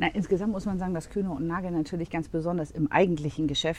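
The voice belongs to a woman. Her pitch moves in an ordinary way. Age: 40s. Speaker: office management consultant. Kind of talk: interview conversation. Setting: coworking space.

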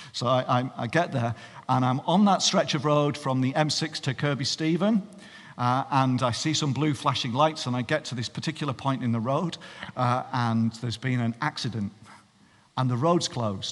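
A man with a Cumbrian accent talks at a medium pitch with ordinary pitch variation. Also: moderate pace. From northern England. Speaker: pastor. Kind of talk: sermon.

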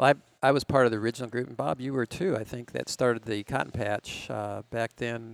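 An ordinary speaking voice from a man with an American accent, at a medium pitch with ordinary pitch variation, a fairly quick pace and a dry, close sound with no echo. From Minnesota. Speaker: cycling event organizer. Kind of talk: casual interview chat.

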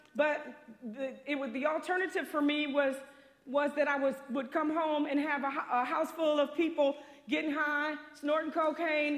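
Audible room echo surrounds a woman speaking at a moderate pace with a high pitch. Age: 50s. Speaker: pastor. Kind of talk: sermon.

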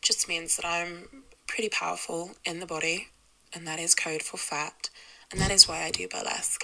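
A woman at a moderate pace with big swings in loudness over noticeable background noise. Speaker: caller. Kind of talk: voicemail story. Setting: phone call.

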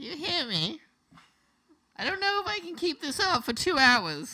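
A put-on character voice, high-pitched and strained, delivered at a moderate pace. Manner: sustained put-on voice.

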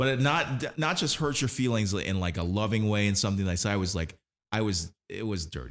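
The speaker uses a normal speaking voice, moving at a fairly quick pace with lively intonation. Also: man, fairly low pitch for a man. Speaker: podcast host. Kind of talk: casual chat, profane and joking. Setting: live recording, podcast. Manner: rambling, joking, self-deprecating.

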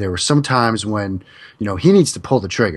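Against a quiet background, a man with an American accent has a normal speaking voice, fairly low in pitch, with ordinary pitch variation. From US Northeast. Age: 30s. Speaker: football analyst. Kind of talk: casual chat.

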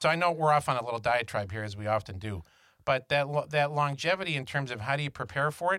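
This man speaks with lively intonation. The recording is very clean, with a silent background. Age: 50s. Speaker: financial advisor podcast co-host. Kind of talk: casual chat.

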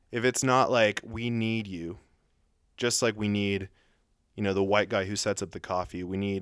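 A man with an American accent, fairly low pitch, monotone, flat intonation and a moderate pace, on a very clean recording with a silent background. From US South, north Atlanta suburbs. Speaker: writer on race. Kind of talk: casual interview chat.

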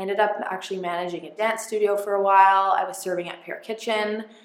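Audible room echo frames a woman speaking at a medium pitch. Her pace is fairly quick and her intonation fairly even. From northern Ontario, Canada. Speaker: branding and social media entrepreneur. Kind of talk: casual interview chat.

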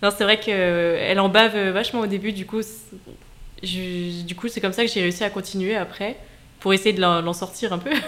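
Her pitch medium and her intonation fairly even, a woman speaks at a moderate pace with long, frequent pauses. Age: 20s. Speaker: debut novelist. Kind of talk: radio interview. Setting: radio studio.

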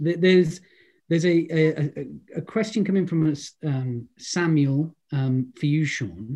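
A man's dark, mellow, somewhat breathy voice with a Welsh accent and ordinary pitch variation. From Wales. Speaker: actor and event host. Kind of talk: interview panel. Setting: video call.

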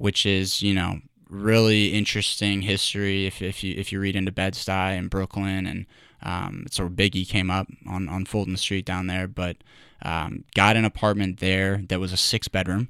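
Here a man talks with a very deep, low pitch and monotone, flat intonation. His tone is bright and sharp. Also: moderate pace. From Louisville, Kentucky. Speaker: sales professional. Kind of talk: casual interview. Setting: studio.

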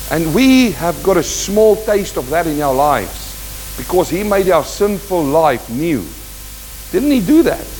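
A man's fairly slow speech carries audible room echo, with noticeable background noise behind it. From South Africa. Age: 50s. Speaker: pastor. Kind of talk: sermon.

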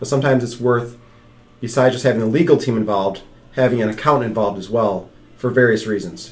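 Through audible room echo, a man talks very fast at a medium pitch with ordinary pitch variation. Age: 30s. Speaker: financial advisor podcast host. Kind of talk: casual chat.

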